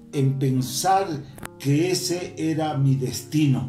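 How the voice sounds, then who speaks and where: A man speaking at a very slow pace with ordinary pitch variation, audible room echo and faint music in the background. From Quito, Ecuador. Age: 80s+. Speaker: retired footballer. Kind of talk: interview answer. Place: home room.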